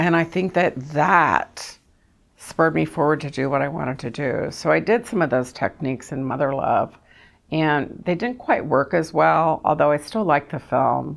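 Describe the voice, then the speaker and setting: A woman's very deep, low-pitched voice with vocal fry, an American accent, a moderate pace and ordinary pitch variation. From Kentucky. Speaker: filmmaker. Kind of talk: interview.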